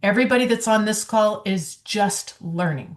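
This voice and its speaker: A woman speaks at a very slow pace, somewhat breathy, with ordinary pitch variation. The background is quiet. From Rhode Island. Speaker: network marketer. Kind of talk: casual chat.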